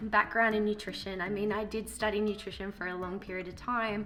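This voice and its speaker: In a room with audible echo, a woman at a medium pitch speaks in a bright, sharp tone with monotone, flat intonation. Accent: Australian. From Australia. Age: 30s. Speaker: vlogger. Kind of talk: casual vlog monologue. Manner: mumbles sometimes; hesitant, many fillers.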